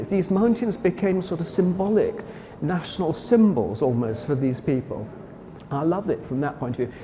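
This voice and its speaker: Moderately paced speech with very wide pitch swings, noticeable background noise behind it. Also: man. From Wales. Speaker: art historian, former gallery director. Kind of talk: interview about a painting. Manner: enthusiastic, with hesitations and self-corrections.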